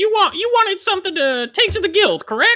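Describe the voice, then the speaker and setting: An extremely high-pitched put-on character voice at a fairly quick pace. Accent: Southern US. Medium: actual play. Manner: brisk, bossy.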